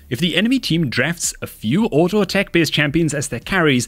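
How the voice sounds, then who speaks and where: Over a very clean recording with a silent background, a man talks at a fairly quick pace with a fairly high pitch and vocal fry. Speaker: video game guide presenter. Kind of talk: scripted narration.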